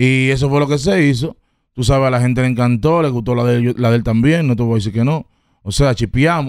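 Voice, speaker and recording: With a Dominican accent, a man talks at a fairly quick pace in a dry sound with no echo against a quiet background. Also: ordinary pitch variation. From Dominican Republic, Herrera; Dominican Republic. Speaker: rapper; podcast guest. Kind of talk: casual interview; interview answer. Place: studio. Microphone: studio mic.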